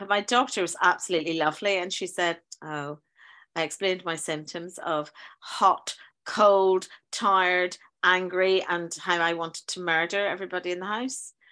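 Against a quiet background, a woman with a Northern Irish accent talks at a moderate pace in a bright, sharp tone, with ordinary pitch variation. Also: medium pitch for a woman. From Northern Ireland. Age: 50s. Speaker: teacher. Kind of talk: casual chat. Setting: video call.

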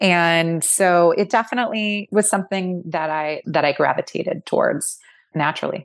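Speaking with a Californian accent at a moderate pace, the voice shows ordinary pitch variation against a quiet background. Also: woman, medium pitch for a woman. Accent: Californian American English. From Southern California, Orange County. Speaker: skincare company CEO and co-founder. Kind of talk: interview.

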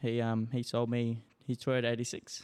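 He speaks in an Australian accent at medium pitch for a man. His pace is fairly slow and his intonation monotone and flat. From Darwin, Northern Territory, Australia. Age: 20s. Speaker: racing driver. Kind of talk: casual chat. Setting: home studio.

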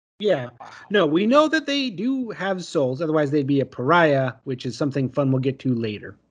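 Against a quiet background, a man with an unremarkable speaking voice talks at a moderate pace, his fairly high pitch carrying lively intonation. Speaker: podcaster. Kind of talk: casual chat.

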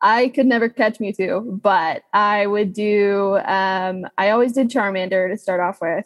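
With an American accent, a woman speaks in an unremarkable speaking voice at a medium pitch and a fairly slow pace, with fairly even intonation, hardly any pauses, and a dry, close sound with no echo. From Texas. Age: 20s. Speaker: voice actress. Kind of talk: casual chat.

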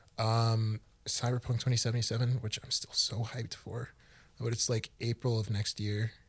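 A man's somewhat breathy, medium-pitched voice in a monotone, flat intonation, fairly slow, on a very clean recording with a silent background. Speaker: student podcast co-host. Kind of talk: casual chat.

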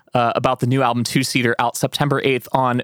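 A man with an American accent and a plain, everyday voice speaks at medium pitch and a moderate pace, in a very clean recording with a silent background and a dry, close sound with no echo. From rural central Pennsylvania. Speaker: podcast host. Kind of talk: casual interview.

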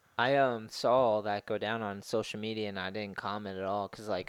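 A man with an ordinary speaking voice, a fairly low pitch, fairly even intonation, and a moderate pace against a quiet background. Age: 30s. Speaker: skateboarder and skate instructor. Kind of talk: casual chat.

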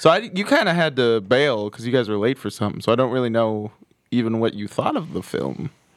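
Lively in intonation and fairly quick in pace, a man talks in a plain, everyday voice at medium pitch. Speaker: podcast co-host. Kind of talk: casual banter.

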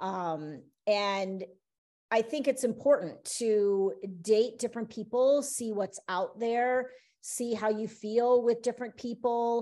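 A woman talks at a very slow pace in a fairly high voice with a dark, mellow tone. Her pitch varies in an ordinary way. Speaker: interview guest, half of a married couple. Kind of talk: casual chat.

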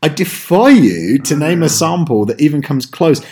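Fairly high-pitched male voice with an American accent, lively intonation, some breathiness and a dark, mellow tone. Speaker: podcast host. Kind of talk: casual chat.

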